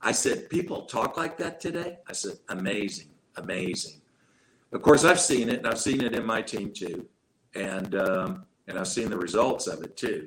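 At a medium pitch, a man talks at a moderate pace, his voice moving in very wide pitch swings. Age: 60s. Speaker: network marketing leader. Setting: video call; home room with drum set.

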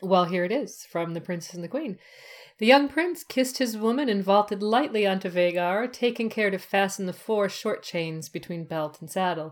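Lively intonation marks this woman's unremarkable speaking voice. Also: medium pitch for a woman, moderate pace. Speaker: podcaster. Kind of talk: casual chat. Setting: video call.

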